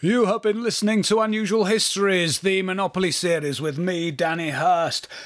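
Against noticeable background noise, a man with a northern English accent talks in a high voice at a moderate pace, with ordinary pitch variation, very even loudness and hardly any pauses. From northern England. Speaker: history podcast host. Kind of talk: scripted narration.

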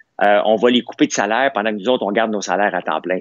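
A man speaks with a Quebec accent. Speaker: business owner and commentator. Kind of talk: heated debate. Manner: animated.

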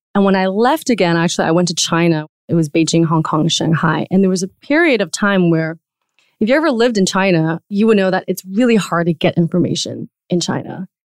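A woman with a Taiwanese-American accent speaks at a fairly quick pace and a very even loudness. The very clean recording has a silent background and a dry, close sound with no echo. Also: medium pitch for a woman, ordinary pitch variation. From Taiwan, moved to the US at 11 or 12. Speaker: podcast network co-founder. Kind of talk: interview conversation.

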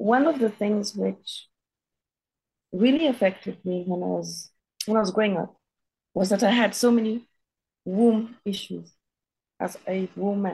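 Speaking at a fairly slow pace with long, frequent pauses, the voice is somewhat breathy and shows ordinary pitch variation. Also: woman. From Kenya. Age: 50s. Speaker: writer and healer. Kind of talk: interview, personal testimony.

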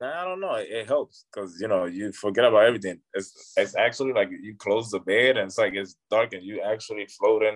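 A man talks at a fairly quick pace with hardly any pauses. His loudness swings widely. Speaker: professional basketball player. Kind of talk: casual interview chat. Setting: at a recovery center.

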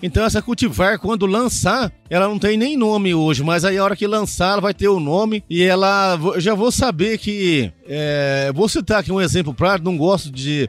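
Over music in the background, a high-pitched man talks at a moderate pace with lively intonation and very even loudness. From Goiás, Brazil. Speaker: farmer and agronomist. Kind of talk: podcast interview.

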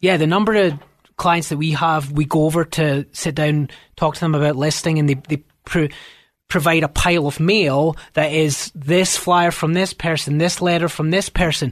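A man with a Scottish accent talks at a moderate pace in a fairly high pitch, with fairly even intonation and very even loudness. The background is quiet. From Scotland. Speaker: realtor. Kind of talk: radio interview. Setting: radio studio.

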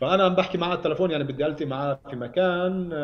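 A man's voice, with ordinary rise and fall in pitch, comes through noticeable background noise. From Palestine, Ramallah. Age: 30s. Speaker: human rights activist. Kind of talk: interview.

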